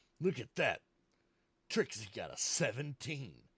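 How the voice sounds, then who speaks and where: A man of medium pitch speaks at a fairly slow pace with vocal fry and very wide pitch swings. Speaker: dungeon master. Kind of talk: tabletop roleplaying game session.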